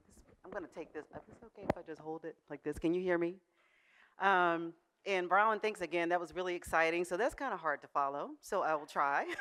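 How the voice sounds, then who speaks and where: Her voice is fairly low, with ordinary pitch variation. The woman talks at a fairly quick pace. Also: big swings in loudness. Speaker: food company founder. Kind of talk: conference presentation. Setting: stage with audience. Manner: loud.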